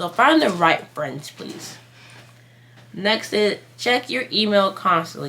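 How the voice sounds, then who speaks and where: A woman speaks very slowly, her pitch swinging very widely and her loudness shifting a lot, with noticeable background noise behind her. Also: medium pitch for a woman. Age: 20s. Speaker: YouTuber giving college advice. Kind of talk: casual vlog advice. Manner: rambling with many fillers.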